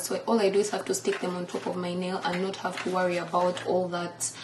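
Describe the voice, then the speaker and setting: Over noticeable background noise, a woman with a Ugandan accent speaks at a moderate pace. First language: Luganda. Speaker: lifestyle vlogger. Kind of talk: casual vlog talk.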